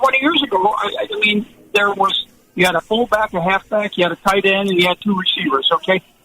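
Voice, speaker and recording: Over background music, a man with an American accent talks fairly quickly in a high pitch with ordinary pitch variation. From Buffalo, New York. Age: 70s. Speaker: retired football coach. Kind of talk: radio interview. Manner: halting.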